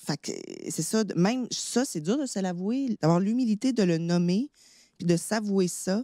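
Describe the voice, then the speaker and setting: With a Quebec accent, a woman of medium pitch speaks fairly slowly in a dark, mellow tone with lively intonation, the sound dry and close with no echo on a very clean recording with a silent background. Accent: Québécois French. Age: 30s. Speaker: actress. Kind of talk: personal testimony in casual chat.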